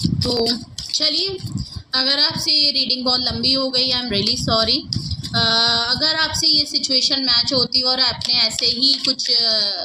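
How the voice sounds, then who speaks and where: A woman speaks at a fairly slow pace in a high voice, with ordinary pitch variation, very even loudness and noticeable background noise. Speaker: tarot reader. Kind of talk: tarot reading.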